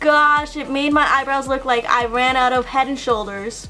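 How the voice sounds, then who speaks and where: Music plays in the background as a woman speaks in a raised, projected voice. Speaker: beauty youtuber. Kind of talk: tutorial. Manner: casual, chatty.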